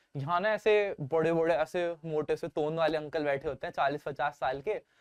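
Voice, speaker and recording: Here is a normal speaking voice. The intonation stays fairly even. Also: man, fairly high pitch for a man. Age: 20s. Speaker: startup founder. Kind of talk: interview. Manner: casual.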